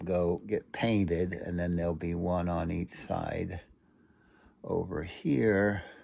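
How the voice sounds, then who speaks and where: A man's very deep, low voice at a very slow pace, with fairly even intonation. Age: 70s. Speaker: grandfather, hobby costume maker. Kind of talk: casual crafting talk to camera.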